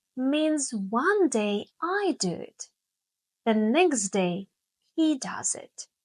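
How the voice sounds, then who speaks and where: With a warm tone and very wide pitch swings, a woman speaks very slowly in a high pitch, the sound dry and close with no echo over a quiet background. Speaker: English teacher. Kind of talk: slow English podcast lesson narration. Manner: slow, clear; warm, friendly.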